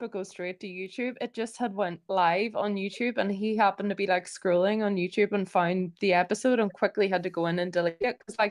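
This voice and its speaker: A woman speaks at a fairly quick pace in a normal speaking voice. Her medium pitch shows ordinary variation. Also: hardly any pauses. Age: 30s. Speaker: podcast co-host. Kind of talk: casual chat. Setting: live stream.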